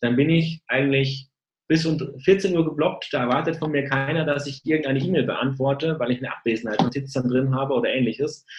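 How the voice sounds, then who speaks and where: A man's somewhat breathy voice, fairly high in pitch, with fairly even intonation. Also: fairly quick pace. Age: 30s. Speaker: sales engineer. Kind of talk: interview. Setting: video call. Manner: hesitant, many filler sounds.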